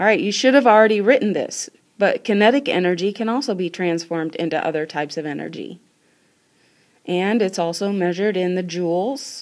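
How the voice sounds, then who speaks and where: At a fairly quick pace, a woman talks in a plain, everyday voice of medium pitch with ordinary pitch variation. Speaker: school science teacher. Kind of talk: recorded classroom lesson. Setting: screencast recording.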